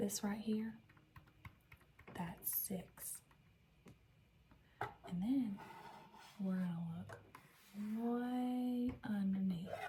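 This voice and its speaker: Over noticeable background noise, a woman with a slight Southern US accent speaks very slowly in a gentle tone, at medium pitch with ordinary pitch variation and long, frequent pauses. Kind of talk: ASMR role-play, library information desk. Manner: gentle, soft-spoken, slow, caring.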